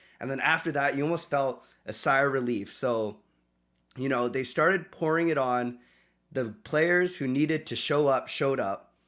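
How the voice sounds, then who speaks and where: In a very clean recording with a silent background, a man speaks at a moderate pace. He has an unremarkable speaking voice, fairly high in pitch with ordinary variation. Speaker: sports fan, host's son. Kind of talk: casual chat. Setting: home studio.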